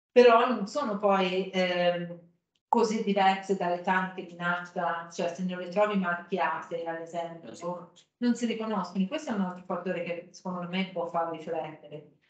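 Against a quiet background with audible room echo, a woman speaks at a moderate pace with ordinary pitch variation and big swings in loudness. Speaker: archaeologist; speaker. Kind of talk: academic talk. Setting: stage with audience. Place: meeting room.

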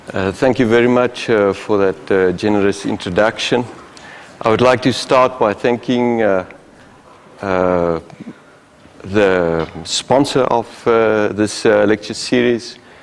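Loudness stays very even as a man speaks very slowly with a fairly low pitch. His pitch variation is ordinary, and light background noise can be heard. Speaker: guest lecturer. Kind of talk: lecture. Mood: polite, grateful opening. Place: hall.

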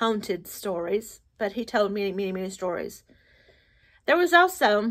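Against a quiet background, a speaker with an American accent talks at a moderate pace. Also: woman. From Appalachian United States. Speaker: storyteller. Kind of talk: casual storytelling to camera. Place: home room. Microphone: phone near.

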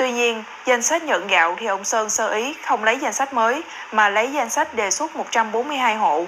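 Noticeable background noise surrounds a woman with a fairly high pitch. She moves at a moderate pace with lively intonation. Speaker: news presenter. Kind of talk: news reading. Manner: formal.

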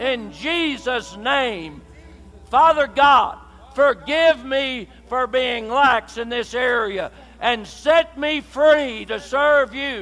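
Speaking at a very slow pace, a man uses an extremely high pitch with ordinary pitch variation. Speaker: pastor leading prayer. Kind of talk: sermon. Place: church.

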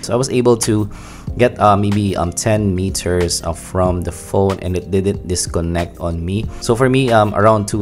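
Over clear music in the background, a man with a very deep, low pitch speaks at a moderate pace with ordinary pitch variation. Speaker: tech reviewer. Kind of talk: product review commentary. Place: home room.

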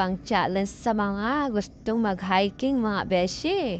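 Medium-pitched woman's speech at a very slow pace, with ordinary pitch variation, a dry sound with no echo and light background noise. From Philippines. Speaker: travel vlogger. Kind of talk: vlog narration while hiking. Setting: outdoors on a mountain. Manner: animated. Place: open country. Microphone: phone near.

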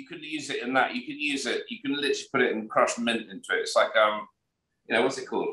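Speaking very fast with a British accent, a man's loudness swings widely, with audible room echo over a quiet background. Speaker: podcast co-host. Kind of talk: casual chat. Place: home room. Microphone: video call.

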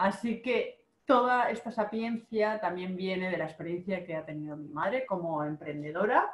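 A woman uses an ordinary speaking voice at a medium pitch, with lively intonation and big swings in loudness. She keeps a moderate pace with hardly any pauses. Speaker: online marketing coach and video host. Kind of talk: casual interview.

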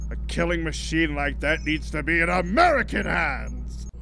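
A man speaks at a moderate pace. Clear music plays behind him.

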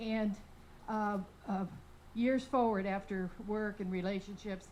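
A woman at a medium pitch and a moderate pace. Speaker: audience member at candidate forum. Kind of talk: public comment at forum. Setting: public library forum with audience. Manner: loud; animated.

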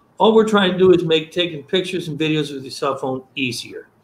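Someone with an American accent talks at a very fast pace amid audible room echo. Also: man. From upstate New York. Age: old. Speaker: product seller, former beverage salesman. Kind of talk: product demonstration. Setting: video call. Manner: fast talker; excitable. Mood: friendly, passionate. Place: home room. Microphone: video call.

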